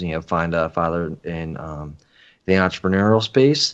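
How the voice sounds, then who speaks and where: A man's plain, everyday voice with an American accent, moderate pace, ordinary pitch variation and a quiet background. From Philadelphia suburbs. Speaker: podcaster, father. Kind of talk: casual chat.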